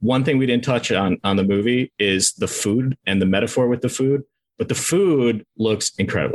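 A man with an ordinary speaking voice talks at a moderate pace and medium pitch, with ordinary pitch variation. His loudness stays very even, and the sound is dry and close with no echo. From Minnesota, US Midwest. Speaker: film reviewer, video creator. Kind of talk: casual chat.

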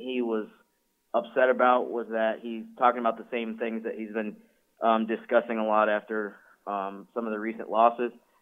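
A man talks at a moderate pace and medium pitch. He has a normal speaking voice. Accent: American. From upstate New York (Syracuse area). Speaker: team website reporter. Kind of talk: casual sports talk.

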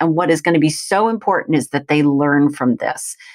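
Recorded with a dry, close sound and no echo, a woman with an unremarkable speaking voice talks at a moderate pace with lively intonation. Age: 50s. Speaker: author and teacher. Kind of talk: interview.

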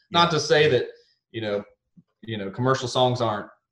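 Speaking at a fairly quick pace, a man with a Texas accent holds a medium pitch with ordinary pitch variation. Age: 30s. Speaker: country singer. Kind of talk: casual interview chat.

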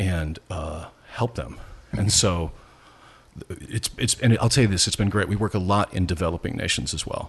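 A man speaks somewhat breathily at a very deep, low pitch. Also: ordinary pitch variation, moderate pace. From US Midwest, rural Nebraska. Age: 50s. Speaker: pastor. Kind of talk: casual interview.

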